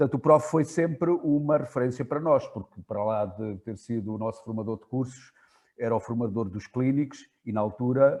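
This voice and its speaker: With a dark, mellow tone, a man talks at a moderate pace and varies his pitch in an ordinary way. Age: 60s. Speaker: basketball coach, moderator. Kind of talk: Q&A question. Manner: halting.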